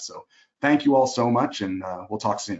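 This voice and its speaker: Moving at a fairly quick pace, a man speaks with ordinary pitch variation. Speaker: marketing agency co-founder. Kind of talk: webinar presentation; Q&A answers. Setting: online webinar. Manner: fast; many filler words.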